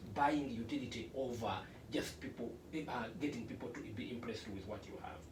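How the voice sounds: A man at a moderate pace, with ordinary pitch variation and audible room echo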